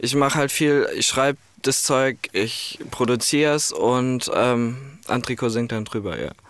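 His voice sits at a medium pitch as this man speaks at a fairly slow pace with fairly even intonation. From Ireland. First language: English (speaking German). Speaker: music producer and songwriter. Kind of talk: radio interview.

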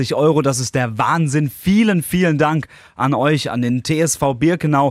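This very clean recording of a man has a silent background and ordinary pitch variation. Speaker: podcast host. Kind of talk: casual radio chat. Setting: studio. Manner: animated.

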